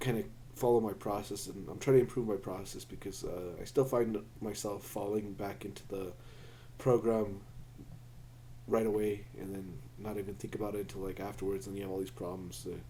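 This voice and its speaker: In a room with audible echo, a man speaks fairly quickly at a fairly low pitch, with a dark, mellow tone and vocal fry. His pitch varies in an ordinary way while his loudness swings widely. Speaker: maker and programmer vlogger. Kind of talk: casual project vlog. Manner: halting, many fillers; self-deprecating, unpolished.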